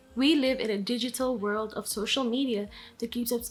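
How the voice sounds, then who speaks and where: Speaking with a Filipino accent, a woman uses a fairly high pitch, a moderate pace, and fairly even intonation. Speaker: vlogger. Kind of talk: scripted vlog monologue. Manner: casual, conversational.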